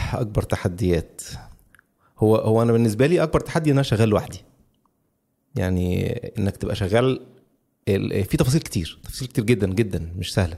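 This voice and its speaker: In an Egyptian accent, a man with a medium pitch and dark, mellow tone speaks at a fairly quick pace with lively intonation and long, frequent pauses. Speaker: podcaster. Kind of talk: interview.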